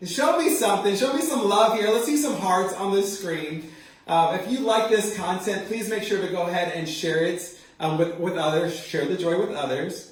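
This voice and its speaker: A man with a high pitch speaks in an animated tone with lively intonation. Room echo is audible, and background noise is noticeable. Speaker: hairstylist and educator. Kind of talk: live tutorial. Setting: livestream.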